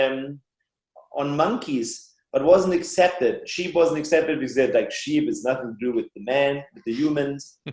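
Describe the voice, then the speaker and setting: Speaking with a German accent at a moderate pace, a man's voice sits fairly high in pitch. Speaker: biological dentist and author. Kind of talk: podcast interview.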